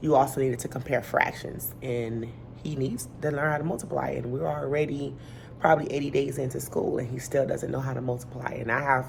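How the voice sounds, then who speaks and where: A woman with a very deep, low pitch, speaking at a fairly quick pace amid audible room echo. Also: ordinary pitch variation. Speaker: elementary school teacher. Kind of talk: casual vlog talk to camera.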